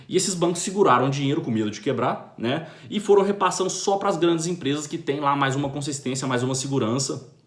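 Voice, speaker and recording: Lively intonation in a Brazilian accent at a fairly quick pace, with audible room echo. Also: man. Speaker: finance commentator. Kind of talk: video monologue commentary. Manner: fast.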